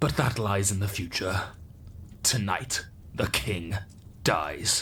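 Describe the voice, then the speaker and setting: Put-on character voice from a man, fairly low in pitch and fairly slow in pace, over clear background noise. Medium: audio drama. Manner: proud, scheming.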